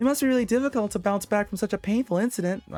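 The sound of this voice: A put-on character voice, fairly high and strained, rattles along at a very fast pace.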